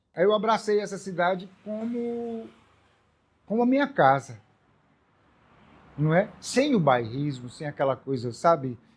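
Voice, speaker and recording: A man's pitch leaps up and down very widely as he talks fairly slowly. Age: 60s. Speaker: artist and educator. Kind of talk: documentary interview.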